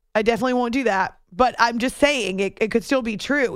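A woman speaks in an ordinary speaking voice at a moderate pace, her fairly high pitch showing ordinary variation, on a very clean recording with a silent background. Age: adult. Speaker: sports radio host. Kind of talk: sports talk radio.

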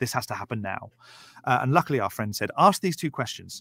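A man with a southern English accent speaks at medium pitch, the sound dry and close with no echo. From southern England, Berkshire. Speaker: YouTuber, atheist commentator. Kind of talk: casual chat.

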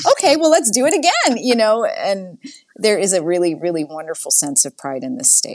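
Very wide pitch swings at a fairly quick pace, in an American accent. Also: woman, fairly high pitch for a woman. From Massachusetts (Framingham, near Boston). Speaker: nonprofit CEO. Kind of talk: interview.

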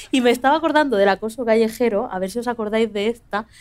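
This is a woman with a fairly high pitch. Her pitch varies in an ordinary way. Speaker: podcast host. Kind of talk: live podcast show before an audience. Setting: stage with audience.

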